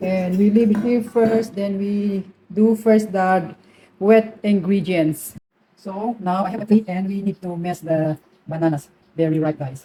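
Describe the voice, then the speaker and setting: In a Filipino accent, a woman talks at a fairly slow pace with a dark, mellow, somewhat breathy tone. Her pitch is medium, with ordinary pitch variation. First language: Tagalog. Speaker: cooking vlogger. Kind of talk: cooking tutorial. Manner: casual.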